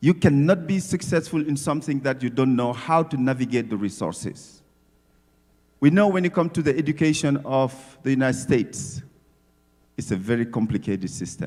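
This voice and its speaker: The speaker uses lively intonation and a fairly quick pace, with an African accent. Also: man, fairly high pitch for a man. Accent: non-native English accent, African. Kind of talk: speech at community event. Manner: animated, emphatic.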